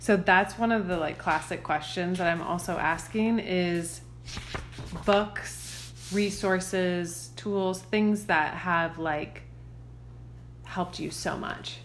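A woman with an American accent speaks very slowly. Room echo and noticeable background noise are audible. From Nashville, Tennessee (US South). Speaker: podcast host, mother of preschoolers. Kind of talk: interview conversation.

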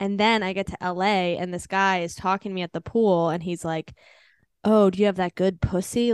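With an unremarkable speaking voice and an American accent, a woman speaks at medium pitch and a fairly quick pace in a dry, close sound with no echo against a quiet background. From Washington DC area / northern Virginia. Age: 30s. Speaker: stand-up comedian. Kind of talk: casual interview chat. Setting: podcast. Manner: fast, filler-heavy with lots of 'like'.

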